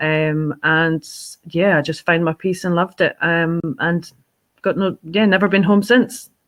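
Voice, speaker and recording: In a Scottish accent, a woman speaks at a fairly slow pace. Her voice is fairly low, with ordinary pitch variation. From Scotland. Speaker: fundraising organisation director. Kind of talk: podcast interview. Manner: hesitant, many fillers.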